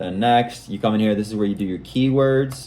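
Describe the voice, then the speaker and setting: A man's speech moves fairly quickly, its pitch variation ordinary. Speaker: junk removal business owner. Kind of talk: screen-share tutorial. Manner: fast; casual.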